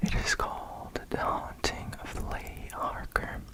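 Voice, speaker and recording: A very slow whisper amid noticeable background noise. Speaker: ASMR creator. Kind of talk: casual talk to camera. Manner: whispered.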